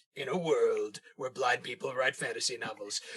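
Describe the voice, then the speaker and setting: A man speaks in a put-on character voice. His pace is moderate. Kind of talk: trailer voice-over. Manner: dramatic, announcer-like.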